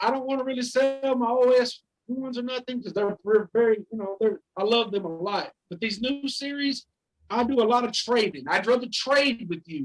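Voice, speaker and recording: A man with a Southern US accent speaks at an extremely high pitch and a moderate pace, with ordinary pitch variation and a dry, close sound with no echo. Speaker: card collector. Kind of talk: interview answer. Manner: rhythmic, enthusiastic.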